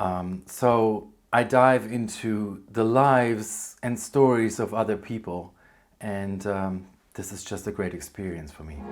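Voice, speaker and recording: A man with a German accent at a fairly low pitch, fairly slow pace and ordinary pitch variation. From Germany. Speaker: book vlogger. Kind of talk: casual vlog, answering tag questions. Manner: hesitant, many fillers.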